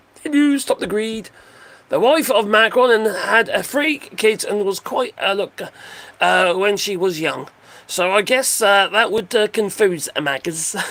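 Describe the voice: A husky man with a high pitch and fairly bright tone speaks at a fairly slow pace with lively intonation.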